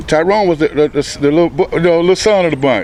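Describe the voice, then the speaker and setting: A high-pitched man at a fairly quick pace, with noticeable background noise behind him. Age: 60s. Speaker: housemate of a police raid victim. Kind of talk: news interview.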